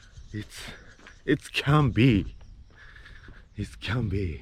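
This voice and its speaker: A man's fairly low-pitched voice with vocal fry. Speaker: travel vlogger, former street performer. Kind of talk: casual vlog narration. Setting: outdoors. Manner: halting.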